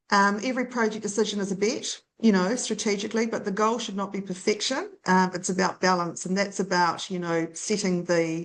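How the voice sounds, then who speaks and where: A woman speaks with a New Zealand accent and fairly even intonation. She hardly pauses, and the background is quiet. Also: medium pitch for a woman, fairly quick pace. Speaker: data centre industry consultant. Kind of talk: interview.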